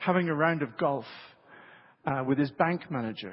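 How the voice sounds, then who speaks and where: In a British accent, a man with a fairly high pitch talks at a moderate pace, somewhat breathy, with lively intonation. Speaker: preacher. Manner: storytelling, engages audience with questions.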